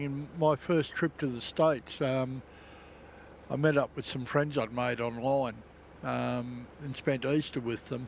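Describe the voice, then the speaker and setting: Speaking at a very slow pace, a man talks with an Australian accent. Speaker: aviation livestream co-host. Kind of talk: casual chat. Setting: outdoors.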